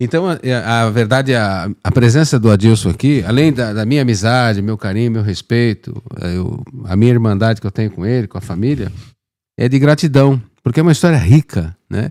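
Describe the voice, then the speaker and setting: Speaking at a fairly quick pace, a man has a medium pitch. His tone is dark and mellow, with ordinary pitch variation. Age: 60s. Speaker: podcast host. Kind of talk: casual interview chat.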